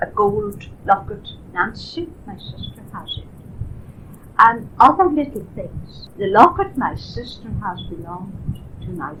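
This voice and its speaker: Noticeable background noise accompanies a woman who talks fairly slowly. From Ireland. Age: 80s+. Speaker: elderly woman recalling family history. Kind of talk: oral history interview. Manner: halting.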